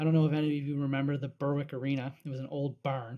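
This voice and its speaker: A man speaks in a Canadian Maritime accent. His pitch sits fairly high, with a dark, mellow tone. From Nova Scotia, Annapolis Valley. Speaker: sports podcast co-host. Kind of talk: casual chat.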